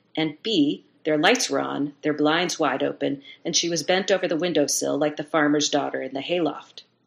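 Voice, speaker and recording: At a fairly quick pace, a woman talks with a very deep, low pitch and vocal fry. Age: 50s. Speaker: novelist and copywriter. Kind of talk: casual chat. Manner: hesitant, many fillers.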